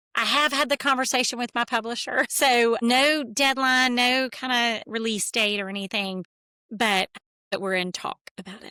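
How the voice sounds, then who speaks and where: Bright and sharp in tone, a woman speaks with a high pitch, ordinary pitch variation and big swings in loudness. Her moderate pace comes through on a very clean recording with a silent background and a dry, close sound with no echo. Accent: Southern US. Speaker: therapist and author. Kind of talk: interview.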